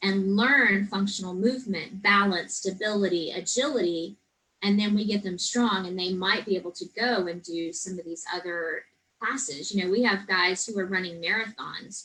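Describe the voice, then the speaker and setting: Speaking with an American accent, a woman has an unremarkable speaking voice, a medium pitch, a moderate pace and fairly even intonation. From Texas Hill Country. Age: 40s. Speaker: personal trainer and gym owner. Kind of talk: interview.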